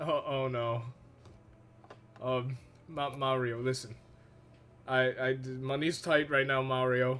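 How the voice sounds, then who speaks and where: Music plays in the background as a man speaks very slowly at a medium pitch. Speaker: streamer. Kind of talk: casual live stream chat. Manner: monotone.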